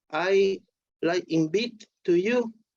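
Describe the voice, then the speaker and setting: Very slow and dark, mellow in tone, a woman of medium pitch speaks. She has a non-native accent. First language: not English. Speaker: devotee. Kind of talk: casual chat. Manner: halting.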